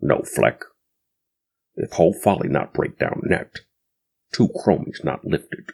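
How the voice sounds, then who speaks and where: Using a put-on character voice, a man talks at a fairly slow pace with long, frequent pauses. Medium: read story. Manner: clipped broken speech.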